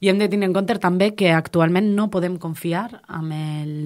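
A woman with ordinary pitch variation talks fairly slowly against a quiet background. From Valencian Community, Castelló coast (Alcalà de Xivert); Valencian Community. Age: 20s. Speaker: politician. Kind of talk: interview. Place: studio.

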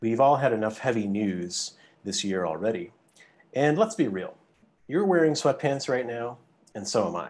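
The pitch swings very widely as a man speaks. His pace is moderate. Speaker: host law professor. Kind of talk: prepared welcome remarks. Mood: light but earnest. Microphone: video call.

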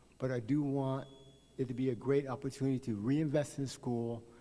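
A man with an American accent speaks at a moderate pace, medium in pitch with a dark, mellow tone and fairly even intonation. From Oklahoma City, Oklahoma. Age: 60s. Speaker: volunteer coach giving public comment. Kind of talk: public comment at board meeting.

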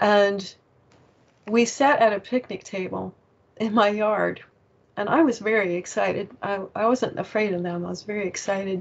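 Medium-pitched and fairly even in intonation, a woman speaks at a moderate pace in a normal speaking voice. Light background noise can be heard. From US, Virginia. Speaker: author and paranormal experiencer; interview guest. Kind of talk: interview. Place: home room. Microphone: earbuds.

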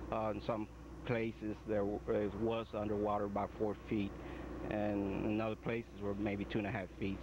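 Noticeable background noise surrounds a man whose voice is recorded dry with no echo. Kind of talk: interview answer. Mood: calm, occasionally smiling. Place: open country.

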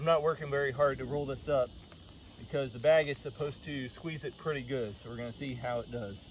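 Fairly quick and somewhat breathy, a man with an American accent speaks at a fairly high pitch with fairly even intonation. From United States. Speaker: outdoor gear reviewer. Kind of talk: casual product review. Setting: outdoors. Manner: casual, conversational.

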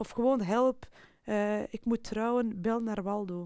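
A woman's fairly high-pitched voice, dark and mellow in tone, with fairly even intonation, a dry sound with no echo and a quiet background. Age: 40s. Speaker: sales professional. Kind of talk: personal testimony interview. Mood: personal, reflective storytelling. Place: studio.

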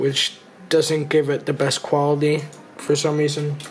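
The speaker is a man. He keeps a moderate pace while faint music sits in the background. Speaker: youtuber. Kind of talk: casual vlog chat. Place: home room.

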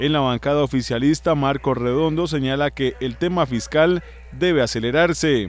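A man with an ordinary speaking voice talks at a moderate pace, his pitch fairly high and its variation ordinary. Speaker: news reporter. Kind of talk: news reading.

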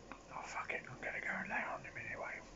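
A man is whispering. He goes at a fairly quick pace. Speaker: ASMR content creator. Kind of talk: casual ASMR talk to camera. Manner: whispered, rambling. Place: home room. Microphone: phone near.

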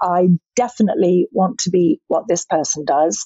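A woman speaks at a moderate pace in a somewhat breathy voice with very wide pitch swings, over a quiet background. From Scotland, Edinburgh, then southern England. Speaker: skincare brand founder. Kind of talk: interview. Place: home room. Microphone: webcam.

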